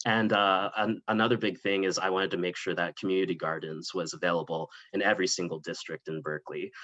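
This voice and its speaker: The speaker has a Californian accent and a bright, sharp tone. Intonation stays fairly even at a fairly quick pace. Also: man. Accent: Californian American English. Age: 20s. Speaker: political candidate. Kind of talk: panel interview.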